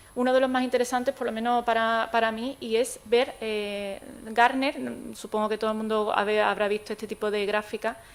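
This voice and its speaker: Speaking fairly quickly with hardly any pauses, a woman keeps a fairly high pitch in a monotone, flat delivery. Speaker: technology expert, conference speaker. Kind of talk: conference talk. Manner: fast; hesitant, many fillers.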